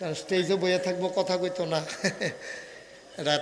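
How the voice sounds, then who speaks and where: Noticeable background noise runs behind this man as he talks. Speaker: Islamic preacher (waz speaker). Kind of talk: humorous religious sermon at a mahfil, addressing the crowd. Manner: casual, jokey, colloquial.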